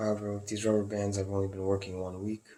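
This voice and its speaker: A man speaks in a fairly low voice that is somewhat breathy. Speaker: video blogger sharing chronic pain symptoms. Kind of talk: personal symptom vlog. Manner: low tone or whispering at times; halting.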